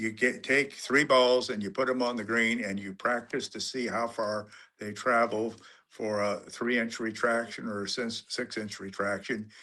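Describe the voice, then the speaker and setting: A man's bright, sharp tone in a monotone, flat intonation. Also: medium pitch for a man, moderate pace, quiet background. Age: 80s+. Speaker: amateur golfer and author. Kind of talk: interview. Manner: halting.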